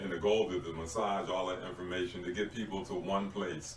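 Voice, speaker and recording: A man's very deep, low voice at a fairly quick pace, with fairly even intonation, audible room echo and noticeable background noise. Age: 60s. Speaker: community mentor and author. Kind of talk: casual chat. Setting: podcast recording.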